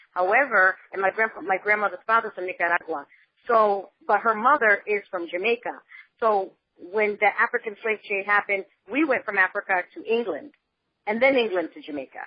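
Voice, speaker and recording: Lively intonation and big swings in loudness mark this woman's fairly quick speech at a medium pitch. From United States, inner city, Panama-born. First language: Spanish. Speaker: podcast host. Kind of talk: interview. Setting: phone call.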